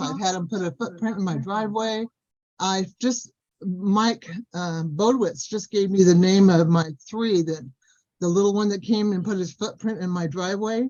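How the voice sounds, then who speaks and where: A woman talks in a plain, everyday voice at a moderate pace. Her pitch is medium, with ordinary variation. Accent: American. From Southern California. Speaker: Sasquatch experiencer. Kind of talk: casual chat.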